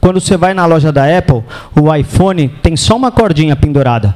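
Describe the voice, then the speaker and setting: With a São Paulo accent, a man speaks at a fairly high pitch with ordinary pitch variation, and there is noticeable background noise. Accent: São Paulo (paulista). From São Paulo, Brazil. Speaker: real estate sales trainer. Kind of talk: lecture. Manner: animated.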